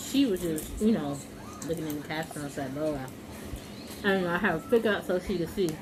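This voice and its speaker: Noticeable background noise and audible room echo surround a woman's fairly low-pitched voice, which has lively intonation. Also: fairly quick pace. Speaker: mukbang vlogger. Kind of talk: casual storytelling while eating.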